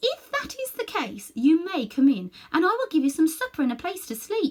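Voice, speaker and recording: A squeaky, put-on character voice swings very widely in pitch. The pace is moderate. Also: woman, extremely high pitch for a woman. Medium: read story. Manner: wary, guarded.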